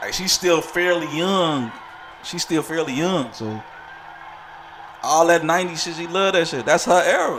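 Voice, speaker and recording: An animated, high-pitched man with an American accent at a moderate pace, over noticeable background noise. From Chicago. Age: 30s. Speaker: live streamer. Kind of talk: casual chat.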